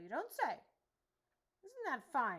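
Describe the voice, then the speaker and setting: A woman performs a growling, put-on character voice. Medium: read story. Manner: growling, greedy.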